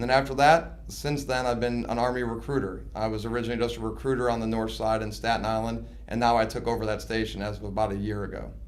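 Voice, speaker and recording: A man with an American accent talks at a very fast pace with hardly any pauses, in audible room echo. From US Midwest, suburbs of Chicago. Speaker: army recruiter and station commander. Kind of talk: interview.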